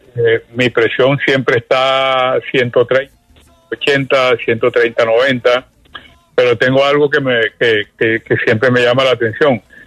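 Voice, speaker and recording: Over music in the background, a man speaks fairly slowly at medium pitch in a monotone, flat intonation, the sound dry and close with no echo. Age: 80s+. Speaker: caller. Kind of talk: call-in question. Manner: halting.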